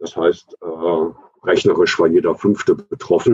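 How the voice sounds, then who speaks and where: A dry, close sound with no echo marks this man's voice. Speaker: trade union official. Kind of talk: panel discussion. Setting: video call.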